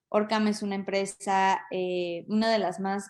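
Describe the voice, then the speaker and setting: Against a quiet background, someone speaks with a Mexican accent. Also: woman. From Mexico. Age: 30s. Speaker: lawyer and business development specialist. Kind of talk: talk to an audience. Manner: hesitant, many fillers.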